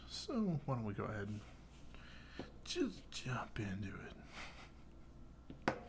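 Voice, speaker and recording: A man speaks in a soothing, calm tone. His voice carries vocal fry. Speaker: knife reviewer. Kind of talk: casual talk to camera. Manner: soothing, calm, rambling.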